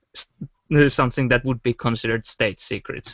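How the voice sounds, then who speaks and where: With a non-native accent, a man speaks at medium pitch and a moderate pace, his intonation fairly even. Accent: pronounces W as V. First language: not English. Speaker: podcast co-host. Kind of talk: casual panel discussion.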